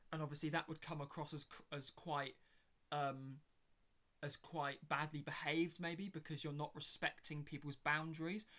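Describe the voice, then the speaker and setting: A man's fairly high-pitched voice with a British accent, monotone and flat, at a moderate pace. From Britain. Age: 20s. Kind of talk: casual chat. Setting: home bedroom. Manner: halting with many fillers.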